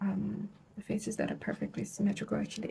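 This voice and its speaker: The speaker talks very fast. The voice is soft-spoken. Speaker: ASMR creator. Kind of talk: ASMR roleplay. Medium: role play.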